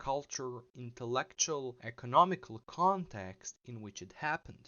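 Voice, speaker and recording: A man with a non-native accent talks at a moderate pace and a medium pitch. His intonation is lively. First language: not English. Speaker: philosophy video essayist. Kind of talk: video essay narration.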